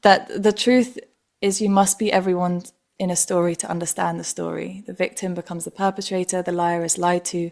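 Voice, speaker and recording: A woman talks at a fairly quick pace in an ordinary speaking voice. Her pitch is medium and her intonation fairly even. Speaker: podcast host. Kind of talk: podcast interview question.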